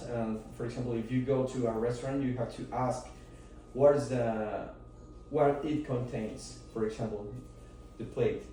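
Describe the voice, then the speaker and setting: Speaking at a moderate pace with long, frequent pauses, a man with a Spanish accent uses monotone, flat intonation amid audible room echo. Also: medium pitch for a man. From Mexico. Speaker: student. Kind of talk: class presentation. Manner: halting.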